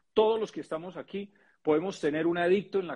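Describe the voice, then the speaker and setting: This is a man with a high-pitched voice. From Colombia. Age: 40s. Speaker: physician and network marketer. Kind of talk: interview.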